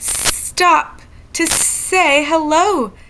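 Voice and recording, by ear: A woman uses a put-on character voice at an extremely high pitch. Hissing runs through it.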